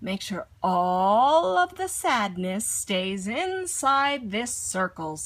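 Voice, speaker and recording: A woman does a put-on character voice at a medium pitch. She goes at a very slow pace with hardly any pauses. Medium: read story.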